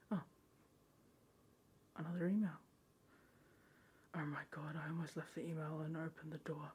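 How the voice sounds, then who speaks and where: The speech moves at a fairly quick pace. Long pauses come often. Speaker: ASMR creator. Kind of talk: horror story reading.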